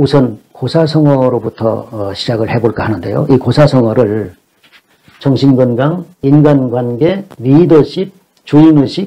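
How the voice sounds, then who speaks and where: The speech moves at a very slow pace. Its pitch shows ordinary variation. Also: man, medium pitch for a man. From South Korea, Jeolla (Gunsan/Jeonju). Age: 60s. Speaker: Chinese classics lecturer. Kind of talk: lecture. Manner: formal.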